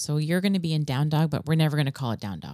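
A woman's very deep, low pitch and dark, mellow tone, with ordinary pitch variation and a very fast pace, in a dry, close sound with no echo and a very clean recording with a silent background. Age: 40s. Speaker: fitness class instructor. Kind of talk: casual chat, interview. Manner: warm, animated.

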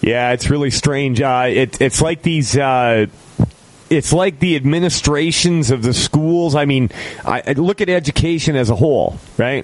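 With a plain, everyday voice, a man talks at a moderate pace with ordinary pitch variation. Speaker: radio host. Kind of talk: casual talk radio show with call-ins.

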